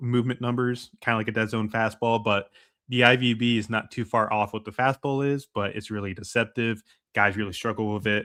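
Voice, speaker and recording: A man's medium-pitched voice at a moderate pace, with fairly even intonation and a normal speaking voice. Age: 20s. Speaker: baseball draft analyst. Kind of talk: solo podcast scouting analysis. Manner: casual, many fillers.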